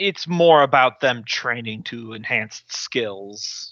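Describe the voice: Doing a put-on character voice, a man speaks at a medium pitch and fairly slow pace with lively intonation.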